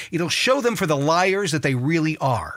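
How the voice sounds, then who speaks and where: Delivered at a moderate pace, the speech has a bright, sharp tone. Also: man. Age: 50s. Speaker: talk show host. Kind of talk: political commentary rant. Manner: animated, heated.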